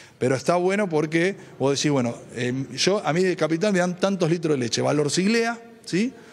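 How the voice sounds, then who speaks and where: A man speaks in a high-pitched voice with lively intonation. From Santa Fe province, Argentina (small town). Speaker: provincial dairy sector official. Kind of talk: field interview. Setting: on location at public event. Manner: halting, many fillers and repetitions. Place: hall. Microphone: handheld.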